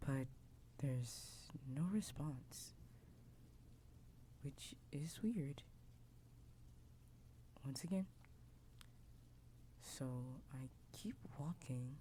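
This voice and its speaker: A soft-spoken man talks at a very slow pace. He leaves long, frequent pauses. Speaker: VTuber ASMR creator. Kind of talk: first-person story narration.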